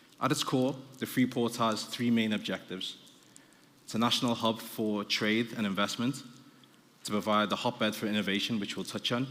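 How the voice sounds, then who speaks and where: A man with a Liverpool accent, medium pitch, a fairly quick pace and fairly even intonation. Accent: Liverpool (Scouse). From Liverpool, northern England. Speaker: business development director, panel speaker. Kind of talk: conference presentation. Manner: fast; halting, many fillers.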